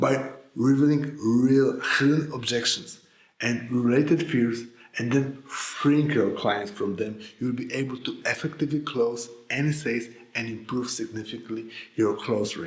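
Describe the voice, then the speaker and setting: A man with a Polish accent speaks at a moderate pace with ordinary pitch variation. Audible room echo surrounds his voice. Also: medium pitch for a man. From Poland. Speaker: sales coach. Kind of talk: scripted narration.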